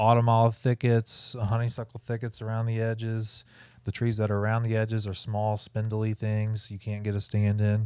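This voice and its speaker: A man with a Midwestern American accent and a dark, mellow tone, medium in pitch, monotone with flat intonation, at a moderate pace in a very clean recording with a silent background. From US Midwest (Ohio). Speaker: hunting expo organizer and content creator. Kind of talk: casual chat. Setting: recorded at a hunting expo.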